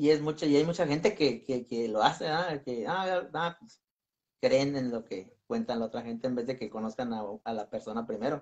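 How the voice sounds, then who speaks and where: Lively intonation and big swings in loudness mark this moderately paced voice over a quiet background. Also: man. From Michoacán, Mexico. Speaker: paranormal explorer; channel host being interviewed. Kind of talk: casual interview. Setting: video call. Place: home room. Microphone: video call.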